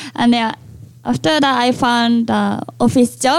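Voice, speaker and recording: A woman speaks at a fairly slow pace in a high voice, with a Japanese accent. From Japan, Sapporo. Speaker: international student. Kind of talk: casual interview.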